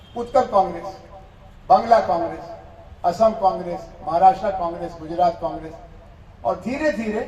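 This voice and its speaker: A man with a Bihari accent, ordinary pitch variation, noticeable background noise and audible room echo. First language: Bhojpuri (speaking Hindi). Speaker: professor. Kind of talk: lecture.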